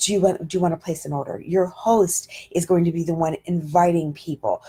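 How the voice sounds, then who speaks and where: This woman's voice is fairly low, with a dark, mellow tone and a somewhat breathy quality. Her pitch variation is ordinary. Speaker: direct sales trainer. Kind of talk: training talk on Facebook Live. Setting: livestream. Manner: fast.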